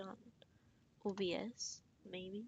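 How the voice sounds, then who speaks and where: Soft-spoken, a woman talks at a medium pitch. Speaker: artist streaming drawing. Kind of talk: casual live-stream chat. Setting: live stream. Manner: uneven volume.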